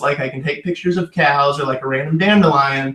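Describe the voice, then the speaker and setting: Talking at a fairly quick pace, a man has an American accent. His pitch varies in an ordinary way. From Indiana, US Midwest. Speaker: wedding photographer. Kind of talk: podcast interview. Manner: casual, filler-heavy.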